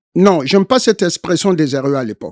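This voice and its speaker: High-pitched for a man, with a dark, mellow tone, lively intonation and a fairly slow pace, on a very clean recording with a silent background. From DR Congo, Sankuru province. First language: Tetela (speaking French). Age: 70s. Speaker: Congolese political activist. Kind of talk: interview. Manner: hesitant, frequent fillers.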